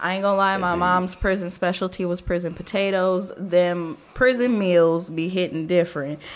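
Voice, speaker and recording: With an American accent, a woman talks at a moderate pace in a medium-pitched voice with fairly even intonation. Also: hardly any pauses. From US Midwest. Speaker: podcast host. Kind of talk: casual chat. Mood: relaxed, joking. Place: studio. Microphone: studio mic.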